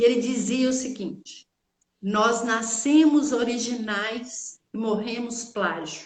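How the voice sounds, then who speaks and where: A woman speaks very slowly in an interior Minas Gerais accent. Her voice is fairly high with ordinary pitch variation. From Brazil, interior of Minas Gerais. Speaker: teacher and therapist. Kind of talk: casual chat.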